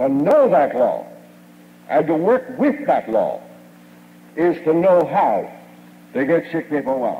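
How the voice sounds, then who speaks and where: This man has a high pitch with very wide pitch swings. He speaks at a fairly slow pace. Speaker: chiropractic lecturer and radio station owner. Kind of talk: 1950s platform lecture, recorded speech to a live audience. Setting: stage with audience. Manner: formal, old-fashioned oratory, folksy and boastful, with jokes and anecdotes. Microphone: old recording.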